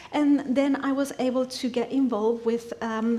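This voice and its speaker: A fairly high-pitched woman with a Spanish accent, amid noticeable background noise and audible room echo. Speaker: church member giving a teaching. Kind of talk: sermon. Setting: church. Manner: halting.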